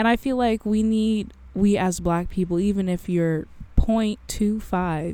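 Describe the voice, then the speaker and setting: The background is silent in this very clean recording. A woman talks in a dark, mellow tone. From Canada (Guelph, Ontario). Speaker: podcast host. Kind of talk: casual chat. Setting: in a parked car.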